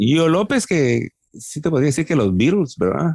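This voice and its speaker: Recorded dry and close with no echo, a man speaks at a fairly slow pace with lively intonation. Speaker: rock singer-songwriter and producer. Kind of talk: casual interview.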